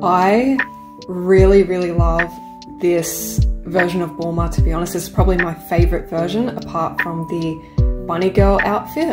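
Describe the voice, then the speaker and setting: A woman talks at a moderate pace while clear music sounds in the background. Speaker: card opening vlogger. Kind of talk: casual vlog chat. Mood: excited, cheerful. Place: home room.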